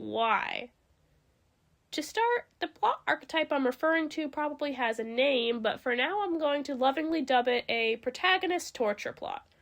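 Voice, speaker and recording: A woman with a high pitch speaks with lively intonation. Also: moderate pace. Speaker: video essayist. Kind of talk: scripted video essay narration.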